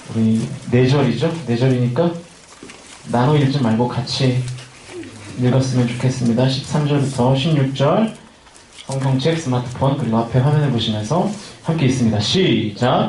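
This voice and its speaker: A man at a medium pitch speaks with very even loudness and long, frequent pauses. Noticeable background noise and audible room echo fill the recording. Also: ordinary pitch variation, moderate pace. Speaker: youth pastor. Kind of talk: sermon. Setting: winter retreat service with congregation. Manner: casual, joking with audience.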